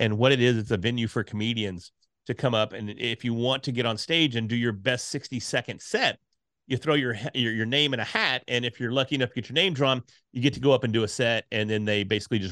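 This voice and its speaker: Loud and very fast, a man speaks at a medium pitch with a bright, sharp tone and ordinary pitch variation in a very clean recording with a silent background. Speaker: podcasting speaker and course creator. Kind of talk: casual interview chat. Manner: loud, animated.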